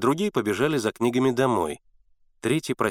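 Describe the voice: Pitch rises and falls to a usual degree in this plain reading aloud.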